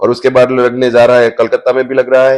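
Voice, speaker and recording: At a moderate pace, a man speaks in a medium pitch. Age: 70s. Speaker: foundation volunteer.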